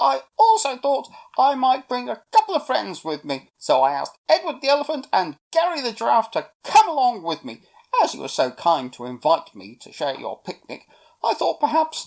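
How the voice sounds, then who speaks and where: A man puts on a character voice at an extremely high pitch, speaking at a moderate pace. The recording is very clean, with a silent background. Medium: read story. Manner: matter-of-fact.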